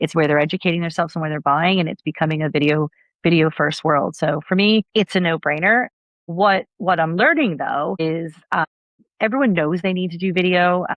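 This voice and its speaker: An unremarkable speaking voice of a woman with an American accent, fairly low in pitch, with ordinary pitch variation and a fairly quick pace. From United States. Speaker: marketing executive. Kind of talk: podcast interview.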